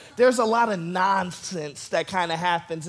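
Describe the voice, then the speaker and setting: A man at a moderate pace. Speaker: pastor. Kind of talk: sermon. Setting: church service with audience. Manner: casual, conversational.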